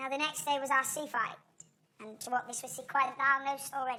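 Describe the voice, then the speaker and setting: A woman puts on a character voice, pitched high. She talks at a fairly quick pace with fairly even intonation. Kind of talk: Shakespearean stage acting. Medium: stage play. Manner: declamatory, intense.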